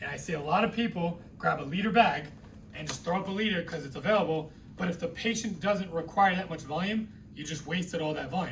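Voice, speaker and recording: A man speaks very fast in a high pitch, with lively intonation. Audible room echo surrounds his voice. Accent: American. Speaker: nursing instructor. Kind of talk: lecture. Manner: conversational.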